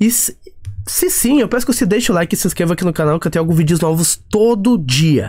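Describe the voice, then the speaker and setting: A man talks at a high pitch and a very fast pace. His intonation is lively. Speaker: finance YouTuber. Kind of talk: tutorial. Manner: hesitant with fillers.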